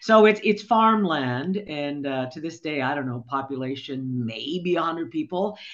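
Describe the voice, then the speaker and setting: A woman's very deep, low voice in a Canadian accent, lively in intonation, at a moderate pace with hardly any pauses and big swings in loudness. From Ontario, Canada (rural area near Barrie). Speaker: former radio news director. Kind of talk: casual interview. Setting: studio.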